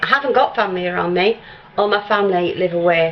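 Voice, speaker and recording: Against noticeable background noise, a woman speaks very fast at a medium pitch. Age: 60s. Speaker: vlogger. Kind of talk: casual chat. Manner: chatty.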